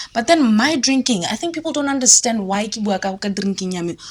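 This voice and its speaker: Over noticeable background noise, a woman with a Botswana accent talks at a fairly quick pace, her fairly high pitch carrying lively intonation. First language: Setswana. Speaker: musician and entrepreneur. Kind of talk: casual interview. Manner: animated.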